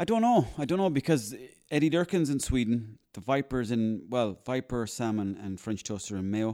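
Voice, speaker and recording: This man has an Irish accent and a dark, mellow tone. His intonation is lively. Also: medium pitch for a man, moderate pace. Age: 30s. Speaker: actor and comedian. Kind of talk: casual chat.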